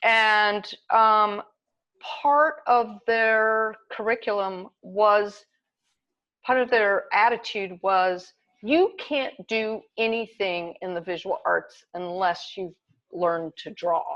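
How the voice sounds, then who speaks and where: A woman's bright, sharp voice in an American accent, at a very slow pace with ordinary pitch variation, over a quiet background. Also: fairly high pitch for a woman. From US South, Kentucky. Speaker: artist. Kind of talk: interview.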